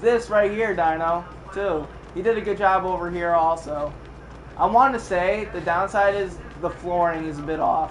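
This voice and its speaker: A man with a high pitch and ordinary pitch variation comes through noticeable background noise and audible room echo. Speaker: gaming streamer. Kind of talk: live stream walkthrough. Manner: casual, profane.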